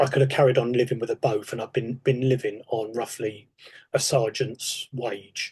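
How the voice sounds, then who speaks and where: A man talks at a moderate pace in a medium pitch. His voice is somewhat breathy, with monotone, flat intonation. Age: 60s. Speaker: retired police sergeant. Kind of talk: podcast interview.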